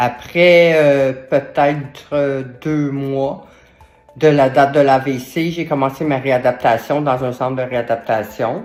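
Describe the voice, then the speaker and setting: A woman with a Quebec accent speaks at a very slow pace in a very deep, low pitch. Her intonation is fairly even, with music in the background. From Quebec, Montreal. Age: 60s. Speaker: stroke survivor sharing patient story. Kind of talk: testimony. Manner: hesitant, many fillers.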